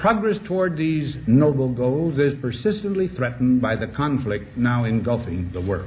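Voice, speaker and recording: A man with an American accent and an unremarkable speaking voice talks at a fairly slow pace with lively intonation. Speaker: former US president giving a farewell address. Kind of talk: formal televised presidential address.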